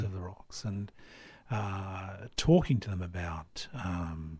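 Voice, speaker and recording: A dark, mellow, somewhat breathy voice at a very slow pace on a very clean recording with a silent background. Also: man, very deep, low pitch for a man, ordinary pitch variation. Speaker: ghost tour guide and hypnotherapist. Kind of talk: radio interview answer.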